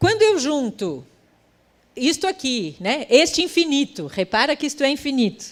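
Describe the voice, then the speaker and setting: A woman speaks at a fairly slow pace with very wide pitch swings. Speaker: futurist and creative economy specialist. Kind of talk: conference talk.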